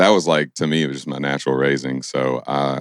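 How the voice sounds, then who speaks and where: Here a man with a Kentucky accent speaks at a very deep, low pitch. His intonation is fairly even and his pace moderate. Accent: Southern US (Kentucky). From Kentucky (Stanford). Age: 20s. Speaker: singer-songwriter. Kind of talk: podcast interview. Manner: casual.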